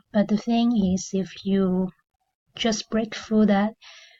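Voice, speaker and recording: A woman with a non-native accent speaks slowly-ish in a medium-pitched, dark, mellow voice with flat, monotone intonation. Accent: foreign accent, self-described as terrible. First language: not English. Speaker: affiliate marketing reviewer, channel owner. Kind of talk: product review video. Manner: hesitant, many fillers.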